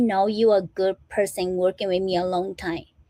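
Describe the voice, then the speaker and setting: A woman with a non-native accent is heard dry and close, with no echo. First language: not English. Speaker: motivational speaker and small business owner. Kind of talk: motivational livestream talk. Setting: live stream. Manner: informal, repetitive fillers.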